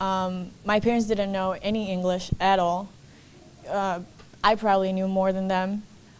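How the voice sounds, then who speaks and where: The speech comes at a moderate pace in a Spanish accent. The intonation is monotone and flat. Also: woman, medium pitch for a woman. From Mexico City. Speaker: college student. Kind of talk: personal testimony speech.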